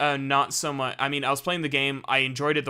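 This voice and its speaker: Bright and sharp in tone, a man's medium-pitched voice moves at a very fast pace. The recording is very clean, with a silent background. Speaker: gaming streamer. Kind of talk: casual live stream chat. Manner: stuttering, halting.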